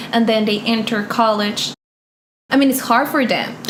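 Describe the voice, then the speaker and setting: Her fairly high voice in a Spanish accent stays monotone and flat as the woman speaks amid audible room echo. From Colombia. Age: 20s. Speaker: interview guest. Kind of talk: casual interview.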